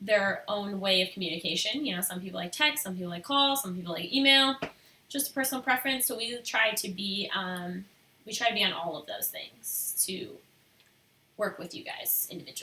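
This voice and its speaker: A woman at medium pitch with lively intonation and a fairly quick pace, over noticeable background noise. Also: big swings in loudness. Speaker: photographer and artist. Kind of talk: live stream Q&A. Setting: live stream video. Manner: soft-spoken.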